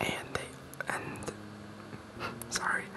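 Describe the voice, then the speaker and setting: Background noise is noticeable. Over it, a man is whispering. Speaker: ASMR creator. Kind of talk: ASMR reading of game creature entries. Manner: whispered.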